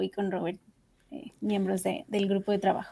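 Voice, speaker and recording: A woman's medium-pitched voice with a Mexican accent, in a very clean recording with a silent background. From Mexico, Mexico City. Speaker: legal researcher. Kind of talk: panel discussion.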